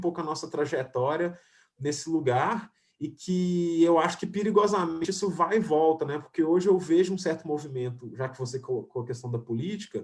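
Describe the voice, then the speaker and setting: Speaking with a Minas Gerais accent, a man talks at a fairly quick pace. His voice is high, with ordinary pitch variation. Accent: Minas Gerais Brazilian Portuguese. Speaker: filmmaker and screenwriter. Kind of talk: online panel discussion. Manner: halting, many fillers and restarts.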